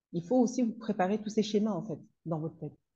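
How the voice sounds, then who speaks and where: This woman has a dark, mellow tone that is somewhat breathy. She talks at a very fast pace. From Comoros. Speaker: consultant and trainer on parenting teenagers. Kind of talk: interview. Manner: halting.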